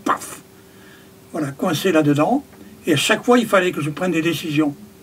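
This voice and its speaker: Noticeable background noise surrounds a man who talks at a high pitch and moderate pace. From France, Périgord. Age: 70s. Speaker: carpenter and spiritual community member. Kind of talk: interview. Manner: halting.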